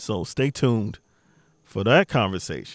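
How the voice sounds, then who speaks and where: In an American accent, a man with a medium-pitched voice speaks at a fairly slow pace. The recording is very clean, with a silent background and a dry, close sound with no echo. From Maryland, Beltsville. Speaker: podcast host. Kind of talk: casual monologue. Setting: outdoors on deck.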